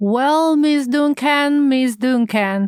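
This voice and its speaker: A woman in a put-on character voice with a high pitch. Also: ordinary pitch variation. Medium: read story.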